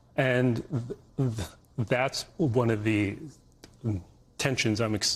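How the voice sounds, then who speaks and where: A man's somewhat breathy voice at medium pitch. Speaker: journalist. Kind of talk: interview answer.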